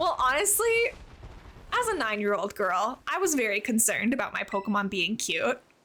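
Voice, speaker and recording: A woman with a Canadian accent speaks at a fairly quick pace in a high voice, her pitch swinging very widely while her loudness stays very even over noticeable background noise. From Canada. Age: 20s. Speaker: streamer. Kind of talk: casual chat. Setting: live stream.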